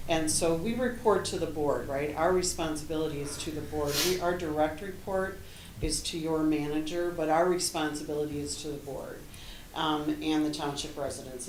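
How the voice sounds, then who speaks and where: Amid audible room echo and noticeable background noise, a woman with a very deep, low pitch speaks fairly quickly with fairly even intonation. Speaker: interim finance director. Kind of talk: presentation. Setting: township board meeting. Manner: fast.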